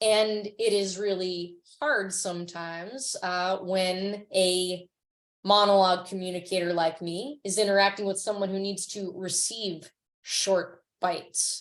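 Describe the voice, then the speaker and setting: A woman with an American accent speaks at a medium pitch. Her pace is fairly slow and her intonation fairly even. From New York. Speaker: nonprofit founder and speaker. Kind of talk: webinar presentation. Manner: halting, many fillers.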